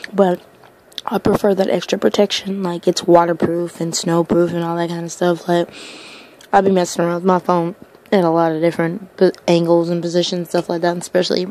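A woman's fairly low voice, fairly quick and monotone with flat intonation, in a dry sound with no echo. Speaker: ASMR eater. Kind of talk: ASMR eating video. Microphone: phone near.

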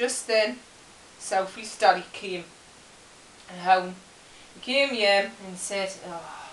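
In a Geordie accent, a woman at medium pitch speaks at a fairly slow pace, with audible room echo and light background noise. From Newcastle, England. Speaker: storyteller. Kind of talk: comic children's story reading. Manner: halting, chatty, dialect-heavy. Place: home room. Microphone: camera far.

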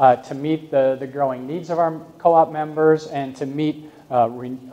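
The man talks with fairly even intonation at a moderate speed. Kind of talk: lecture. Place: hall. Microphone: camera far.

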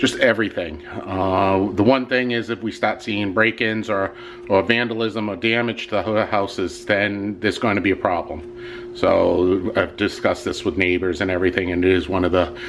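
A man speaking with fairly even intonation over noticeable background noise. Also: fairly low pitch for a man, moderate pace. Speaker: vlogger. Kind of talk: casual vlog chat. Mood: annoyed, complaining. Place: home room. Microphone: phone near.

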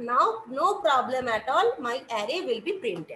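In a room with audible echo, a woman's raised, projected voice, bright and sharp in tone, moves at a moderate pace with very wide pitch swings. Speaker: college lecturer. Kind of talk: lecture.

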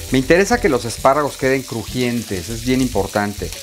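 Background noise is noticeable. The pace is fairly quick. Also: man. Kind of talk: cooking tutorial. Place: kitchen. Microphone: lapel.

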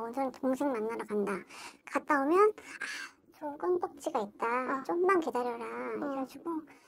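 Over light background noise, a woman speaks at a moderate pace with a high pitch. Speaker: fortune-telling client. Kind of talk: fortune-telling consultation. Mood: calm, matter-of-fact. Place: home room. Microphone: lapel.

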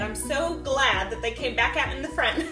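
Clear music plays behind a woman as she talks. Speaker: sales consultant telling her story. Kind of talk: casual storytelling to camera. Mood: lively, humorous. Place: home room.

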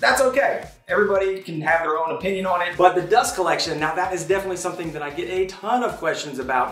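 Over light background noise and audible room echo, a man talks at a very fast pace in a high pitch with ordinary pitch variation. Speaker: woodworking channel host. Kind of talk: shop tour commentary. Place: garage.

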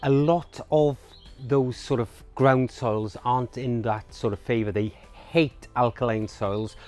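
A man at a moderate pace with ordinary pitch variation, dry sound with no echo, and faint music in the background. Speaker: presenter. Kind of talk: tutorial. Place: garden.

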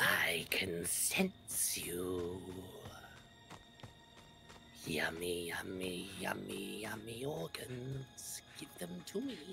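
Clear music plays behind a raspy, put-on character voice that moves at a very slow pace. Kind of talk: exaggerated. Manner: silly, playful, menacing.

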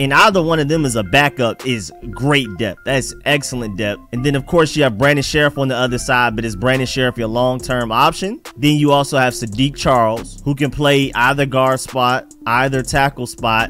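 Faint music plays behind a man speaking at a moderate pace with ordinary pitch variation and hardly any pauses, in a dry sound with no echo. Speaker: sports podcaster. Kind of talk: sports commentary. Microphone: studio mic.

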